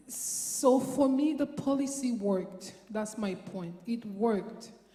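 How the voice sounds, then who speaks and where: A woman's fairly high voice at a very slow pace, with ordinary pitch variation and noticeable background noise. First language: French. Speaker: audience member asking a question. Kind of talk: audience question at panel event. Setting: lecture theatre with audience. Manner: halting.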